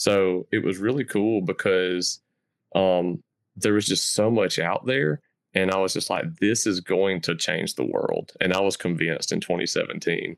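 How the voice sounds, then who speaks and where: The man's loudness stays very even throughout. The sound is dry and close, with no echo. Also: moderate pace, very clean recording, silent background. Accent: Southern US. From US South. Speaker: crypto content creator. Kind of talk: podcast interview.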